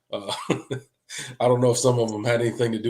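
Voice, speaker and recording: A man speaks at a very fast pace, with audible room echo. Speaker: college football podcast host. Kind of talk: casual livestream chat.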